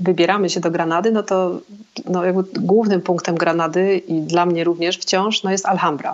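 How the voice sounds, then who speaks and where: There is noticeable background noise in this clip. A woman speaks at a medium pitch. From Poland, Szczecin. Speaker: travel blogger and hostel owner. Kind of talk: interview. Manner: halting.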